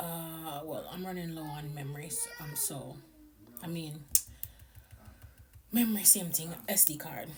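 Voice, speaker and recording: Over noticeable background noise and audible room echo, a woman with a fairly low pitch speaks at a fairly slow pace with long, frequent pauses. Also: ordinary pitch variation. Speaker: vlogger, mom. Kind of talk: casual vlog narration.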